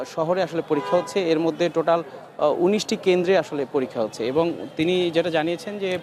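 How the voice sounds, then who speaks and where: Over noticeable background noise, a man talks with a high pitch and ordinary pitch variation. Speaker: TV news reporter. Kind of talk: live field report. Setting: on location at a university campus. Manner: halting, with fillers.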